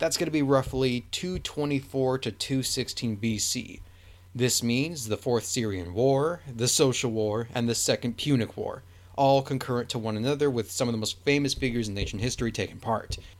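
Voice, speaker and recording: A man uses a normal speaking voice, pitched medium and varying in an ordinary way. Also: moderate pace. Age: 20s. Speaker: history podcaster. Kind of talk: solo Q&A monologue. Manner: casual with many filler words.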